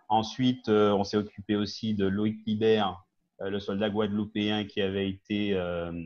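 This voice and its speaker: Slow-ish and monotone, a man delivers his words at a fairly low pitch with flat intonation. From Guadeloupe, raised in mainland France from age ten. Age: 50s. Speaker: business owner and community activist. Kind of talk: TV talk show interview. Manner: hesitant, many fillers.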